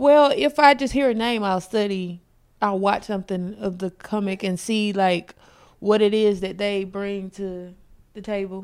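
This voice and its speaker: In an ordinary speaking voice, a woman with an American accent talks at a fairly slow pace, with ordinary pitch variation and big swings in loudness. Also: medium pitch for a woman. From South Carolina. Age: 30s. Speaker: comedian. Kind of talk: casual chat. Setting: home studio.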